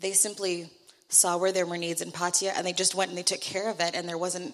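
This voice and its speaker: This is a woman with a fairly low pitch. Noticeable background noise is present. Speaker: church mission trip member. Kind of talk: church testimony. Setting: church.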